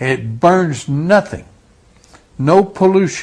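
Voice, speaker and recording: The man's delivery moves along fairly slowly. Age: 70s. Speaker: witness interviewee. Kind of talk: interview testimony.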